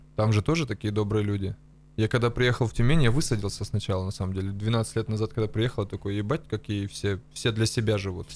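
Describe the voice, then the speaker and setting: Very fast man's voice, fairly low in pitch with fairly even intonation, dry sound with no echo. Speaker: comedy podcast co-host. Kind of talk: casual chat. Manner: crude, profanity-heavy. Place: studio. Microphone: studio mic.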